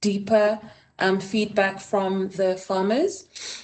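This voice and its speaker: A woman is speaking. She has a Botswana accent. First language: Setswana. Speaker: design researcher. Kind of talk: conference presentation. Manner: hesitant with frequent fillers.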